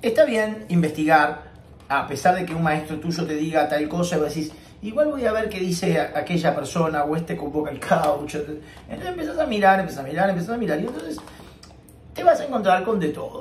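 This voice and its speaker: High-pitched man at a fairly quick pace, with audible room echo and light background noise. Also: ordinary pitch variation. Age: 50s. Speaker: professional tenor and singing teacher; singing teacher. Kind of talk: vlog monologue. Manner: serious; halting, repeats words. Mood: serious, earnest. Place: home room. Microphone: webcam.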